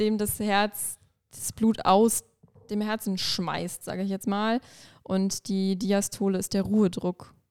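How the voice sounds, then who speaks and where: A woman's normal speaking voice, fairly high-pitched and fairly slow, with a dry, close sound and no echo. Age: 20s. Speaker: intensive care nurse. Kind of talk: casual interview.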